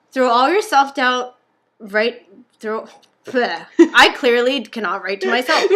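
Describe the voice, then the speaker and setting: Loud and bright with a sharp tone, a woman speaks high and with lively intonation at a fairly slow pace, leaving long, frequent pauses. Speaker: podcast co-host. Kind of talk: reading aloud.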